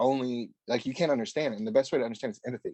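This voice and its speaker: Dark and mellow in tone, a man speaks with a Louisiana accent and ordinary pitch variation, in a dry, close sound with no echo. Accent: southern US (Louisiana). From Louisiana (small rural town). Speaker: mental health nonprofit director. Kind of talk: podcast interview.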